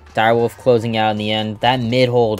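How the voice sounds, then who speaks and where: Music plays in the background. A man is speaking. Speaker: esports commentator. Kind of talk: live esports commentary on a match, play-by-play.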